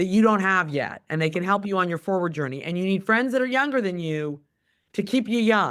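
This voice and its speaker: Here is a woman with a normal speaking voice, lively intonation and a fairly quick pace. The recording is very clean and the background silent. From California. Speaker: company CEO. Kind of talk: interview.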